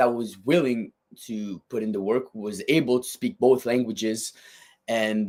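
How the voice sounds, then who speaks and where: On a very clean recording with a silent background, a man with a strong French Canadian accent talks at a fairly slow pace, with a medium pitch and ordinary pitch variation. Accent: thick French-Canadian. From Quebec, French Canada. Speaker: fitness equipment company designer. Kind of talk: podcast interview. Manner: words run together.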